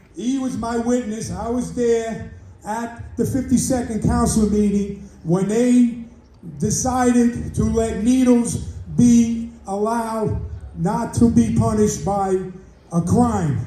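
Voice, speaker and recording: A man with an American accent at a very slow pace, with audible room echo. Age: 70s. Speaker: community member. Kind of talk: public comment at community meeting. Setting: community board meeting. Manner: animated.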